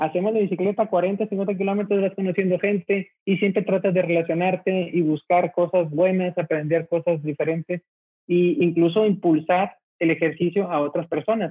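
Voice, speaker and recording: Speaking with a northern Mexican accent, a man talks at a moderate pace with a high pitch, very even loudness and fairly even intonation. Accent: northern Mexican (Monterrey) Spanish. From Mexico, Monterrey. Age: 40s. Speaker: transport logistics entrepreneur. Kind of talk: interview.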